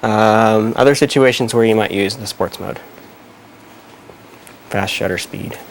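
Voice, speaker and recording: Fairly slow delivery with long, frequent pauses and fairly even intonation, over noticeable background noise. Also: man, fairly low pitch for a man. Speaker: photography teacher. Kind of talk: live class explanation. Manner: hesitant, casual.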